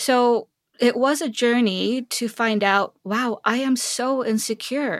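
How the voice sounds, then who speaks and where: A woman with a Korean accent speaks at a very slow pace and a high pitch. The sound is dry and close, with no echo. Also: ordinary pitch variation. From South Korea (Seoul). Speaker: tech executive. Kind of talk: interview conversation.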